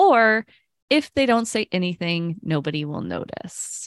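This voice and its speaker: Fairly low in pitch, a woman talks at a fairly slow pace with very wide pitch swings. The recording is very clean with a silent background and a dry, close sound with no echo. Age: 30s. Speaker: podcast co-host, project manager. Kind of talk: casual chat.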